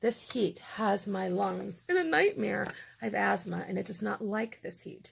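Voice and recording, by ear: Using a put-on character voice, a woman talks at a moderate pace, sounding raspy and hoarse, with big swings in loudness.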